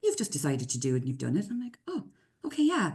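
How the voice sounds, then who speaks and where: A woman's dark, mellow tone at a very fast pace. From Ireland. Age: 30s. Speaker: construction consultant and business owner. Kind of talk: casual chat. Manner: animated.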